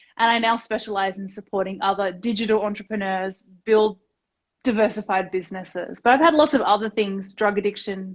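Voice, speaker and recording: A woman with an Australian accent speaks at medium pitch and a fairly quick pace. Her pitch varies in an ordinary way, while her loudness swings widely. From Australia, Tasmania. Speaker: entrepreneur and business mentor. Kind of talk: casual interview chat.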